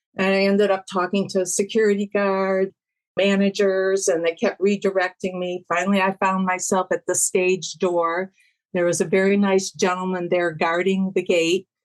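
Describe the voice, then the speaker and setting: Against a quiet background, with a dry, close sound and no echo, a woman with a Michigan accent speaks at a moderate pace, her medium pitch held in a monotone, flat intonation. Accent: US Midwest (Michigan). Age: 70s. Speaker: music fan, podcast guest. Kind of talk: interview, personal storytelling.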